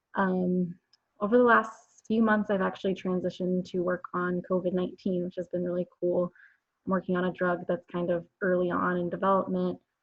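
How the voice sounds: A woman speaks at a fairly quick pace. Her pitch is fairly low, and her intonation stays monotone and flat.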